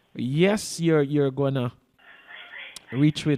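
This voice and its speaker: Over music in the background, the speech moves at a very slow pace with fairly even intonation and a dry, close sound with no echo. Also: man. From Guyana. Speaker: TV show host. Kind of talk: casual chat. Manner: halting, many repeated words.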